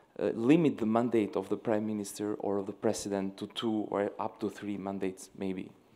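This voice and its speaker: The speaker has an Albanian accent and a dark, mellow tone, moving at a moderate pace. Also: man. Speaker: young leader delegate asking a question; audience member. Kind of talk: audience question. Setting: stage with live audience. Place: hall.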